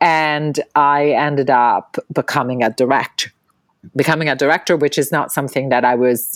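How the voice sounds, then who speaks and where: The speaker has an Italian accent and a moderate pace, with a dry, close sound and no echo. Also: woman. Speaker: film director and actress. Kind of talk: interview.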